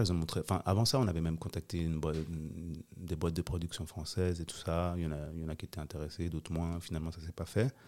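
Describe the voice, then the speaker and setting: A man speaks with a very deep, low voice at a fairly quick pace. The recording is very clean, with a silent background. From Switzerland, Geneva. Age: 40s. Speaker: documentary director and producer. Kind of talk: casual interview.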